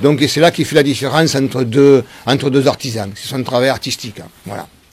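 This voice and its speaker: A man at a medium pitch and fairly quick pace, with ordinary pitch variation, over noticeable background noise. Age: 60s. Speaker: wood sculptor, former cabinetmaker. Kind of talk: interview. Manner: halting, many hesitations.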